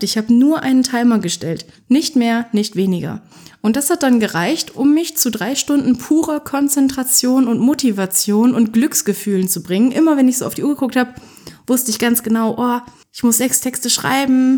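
At a moderate pace, a woman speaks at a high pitch with a dark, mellow tone. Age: 20s. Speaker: podcast host, author and self-employed writer. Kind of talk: solo podcast monologue. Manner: casual, chatty.

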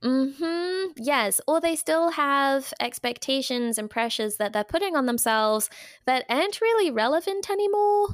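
Her voice is high and varies very widely in pitch. The woman keeps a moderate pace. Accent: English. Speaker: dietitian and retired athlete. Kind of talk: casual interview. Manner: animated.

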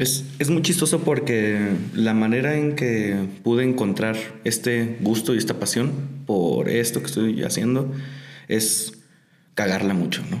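Speech at a fairly slow pace with ordinary pitch variation and very even loudness, plus audible room echo and noticeable background noise. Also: man, medium pitch for a man. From Mexico, Tijuana. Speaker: lettering artist and muralist. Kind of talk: interview. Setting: studio.

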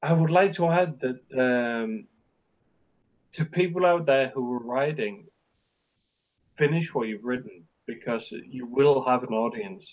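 At a very slow pace, a man speaks in a Scottish Borders accent with a medium pitch and ordinary pitch variation. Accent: border accent, Scottish-tinged English. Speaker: crime short story writer. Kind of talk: casual interview chat. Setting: remote call. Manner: hesitant, self-deprecating.

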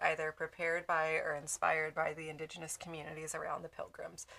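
A woman's fairly low-pitched voice with a bright, sharp tone. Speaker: podcast co-host. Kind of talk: casual chat.

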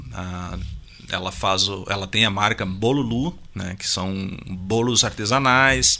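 Very slow man with a southern Brazilian accent, fairly low pitch and a bright, sharp tone, on a very clean recording with a silent background. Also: ordinary pitch variation. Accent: gaúcho Brazilian Portuguese. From Rio Grande do Sul, Brazil. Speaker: musician and music producer. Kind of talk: casual interview. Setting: radio studio.

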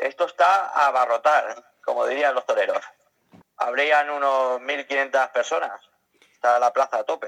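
There is no echo, and the sound is dry and close. The man delivers his lines fairly slowly. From Spain, Elche (Alicante). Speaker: caravan traveler. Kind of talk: interview. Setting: outdoors at a village festival.

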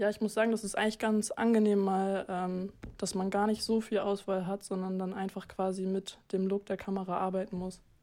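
Delivered at a moderate pace with hardly any pauses, the voice has a dark, mellow tone and a monotone, flat intonation. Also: woman, medium pitch for a woman. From Hamburg, northern Germany. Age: young. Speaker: amateur photographer. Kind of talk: casual chat.

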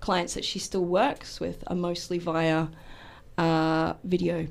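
A woman in an Australian accent talks at a fairly slow pace. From Australia, Melbourne. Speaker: actor and hypnotherapist. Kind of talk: radio interview. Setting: radio studio.

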